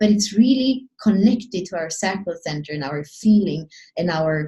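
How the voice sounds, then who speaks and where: Somewhat breathy, a woman's voice sits at medium pitch with a dark, mellow tone and lively intonation. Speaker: astrology and human design teacher. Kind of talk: solo video talk. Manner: fast; halting, many restarts.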